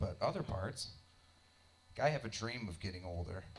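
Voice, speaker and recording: At a fairly quick clip, this voice comes across somewhat breathy. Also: man. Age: 30s. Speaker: stand-up comedian. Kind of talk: stand-up comedy. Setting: stage with audience in a basement club. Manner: animated, irreverent. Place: stage. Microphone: handheld.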